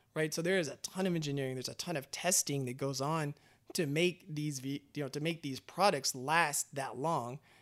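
A man's unremarkable speaking voice, fairly high in pitch, with fairly even intonation and an American accent, in a very clean recording with a silent background. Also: moderate pace. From Texas, Austin. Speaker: automotive industry manager. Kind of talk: casual interview. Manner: casual, many filler words.

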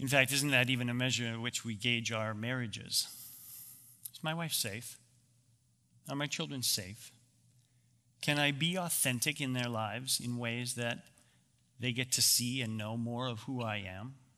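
At a moderate pace with long, frequent pauses, a man with a Canadian accent speaks in a medium pitch with a bright, sharp tone and ordinary pitch variation, and there is audible room echo. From Canada. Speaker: ministry founder and speaker. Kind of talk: talk at a men's church gathering.

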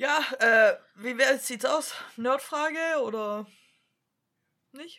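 A woman with a Swabian accent speaks in a raised, projected voice that is high-pitched, bright and sharp. She goes very slowly, with long, frequent pauses and ordinary pitch variation. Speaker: podcast co-host. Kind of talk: casual chat.

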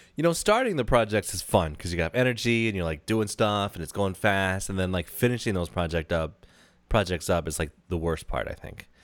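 A very clean recording on a silent background of a man's very deep, low voice, American accent, ordinary pitch variation. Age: 30s. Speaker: podcast co-host. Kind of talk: casual chat.

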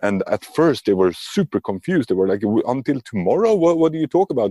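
A man with a Swedish accent and a dark, mellow tone, in a dry, close sound with no echo and a very clean recording with a silent background. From Sweden. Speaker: lean and agile coach, author. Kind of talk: interview.

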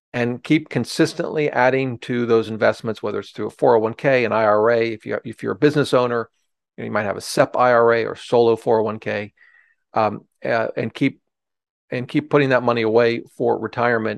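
A man with an American accent has a plain, everyday voice at a medium pitch, with ordinary pitch variation and a fairly quick pace. The sound is dry and close with no echo, over a quiet background. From Ohio. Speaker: personal finance author and former securities lawyer. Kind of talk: interview, explaining investing.

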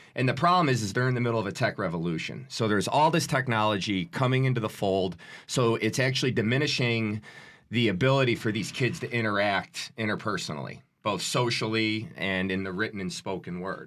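In a very clean recording with a silent background, a man with an ordinary speaking voice and a medium pitch talks at a fairly quick pace with lively intonation. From Chicago, South Side. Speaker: youth educator. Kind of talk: interview.

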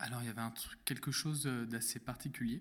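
With a medium pitch and fairly even intonation, a man speaks at a moderate speed. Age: 20s. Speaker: podcast guest sharing personal story. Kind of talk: testimony. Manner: halting, many fillers.

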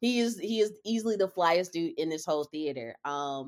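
A normal speaking voice with an American accent, lively intonation and a fairly quick pace. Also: woman. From Charlotte, North Carolina. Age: 30s. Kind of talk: casual chat.

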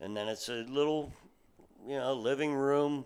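A man with an American accent speaks at a medium pitch, using an unremarkable speaking voice. His intonation is lively. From central Pennsylvania. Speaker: cabin rental owner. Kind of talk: casual chat. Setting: fishing cabin.

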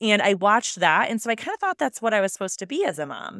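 A woman's voice swings very widely in pitch, with a dry, close sound and no echo. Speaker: alcohol-free coach and podcast host. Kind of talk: solo podcast monologue, casual and personal. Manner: fast talker, speeds up when excited; chatty, conversational.

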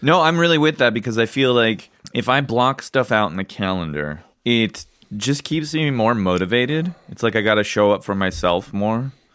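With lively intonation, a man at medium pitch and a moderate pace has a normal speaking voice. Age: 30s. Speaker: independent filmmaker and podcast co-host. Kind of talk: casual chat.

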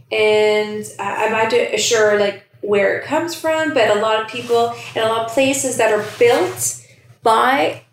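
In a Canadian accent, the speaker talks at a fairly slow pace with ordinary pitch variation, and the room echo is audible. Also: woman. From Scarborough, Toronto, Canada. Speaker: podcast co-host, educator. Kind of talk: casual chat.

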